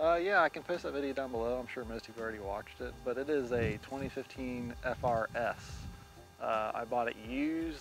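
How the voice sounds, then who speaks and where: A man talks over background music, his pitch varying in an ordinary way. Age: 30s. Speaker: vlogger. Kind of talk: casual chat. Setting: outdoors. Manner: halting.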